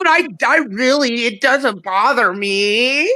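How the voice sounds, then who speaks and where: A whiny, put-on character voice sounds female. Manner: whining, crying.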